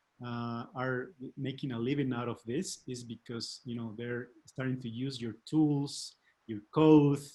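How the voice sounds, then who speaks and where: A man speaks with a non-native accent at a fairly slow pace. His medium pitch stays in fairly even intonation. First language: not English. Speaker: webinar host. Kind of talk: live interview. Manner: halting.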